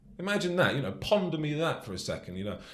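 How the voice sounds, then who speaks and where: Over audible room echo, a man with a British accent talks at a very fast pace, his fairly high pitch making very wide swings. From England. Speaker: soldier. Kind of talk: casual chat. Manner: animated.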